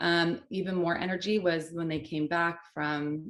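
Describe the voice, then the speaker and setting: A woman's normal speaking voice, fairly low in pitch, with fairly even intonation and a fairly slow pace. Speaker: social media manager. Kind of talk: panel discussion.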